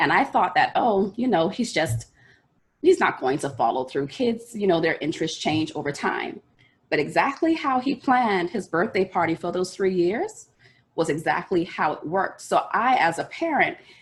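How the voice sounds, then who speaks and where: A woman's somewhat breathy, medium-pitched voice with very wide pitch swings. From Bahamas. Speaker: life coach presenter. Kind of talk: online workshop presentation. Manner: fast.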